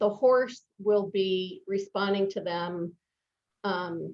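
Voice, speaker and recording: This woman speaks at a medium pitch. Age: 60s. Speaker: life coach. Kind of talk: interview. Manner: hesitant with fillers.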